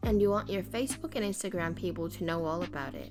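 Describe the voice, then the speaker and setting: A woman with music in the background. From Philippines. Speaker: beauty vlogger. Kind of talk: casual talk to camera.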